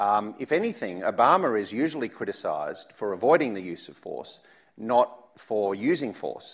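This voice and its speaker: The speaker, in an Australian accent with vocal fry, moves at a moderate pace with very wide pitch swings and big swings in loudness against a quiet background. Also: man, medium pitch for a man. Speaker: think tank director, interviewer. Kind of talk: public interview. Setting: stage with audience. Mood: challenging but polite. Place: stage. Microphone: lapel.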